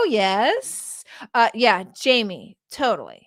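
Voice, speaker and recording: Speaking in an animated tone, a woman uses a fairly high pitch in a very clean recording over a silent background. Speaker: online business coach. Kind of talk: live-stream Q&A. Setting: live stream at a standing desk.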